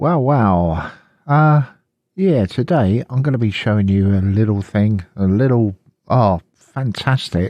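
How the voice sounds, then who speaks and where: A man with an English accent, a fairly low pitch and a dark, mellow tone, lively in intonation, fairly slow and very even in loudness. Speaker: Linux tutorial youtuber. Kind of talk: screen-recorded tutorial.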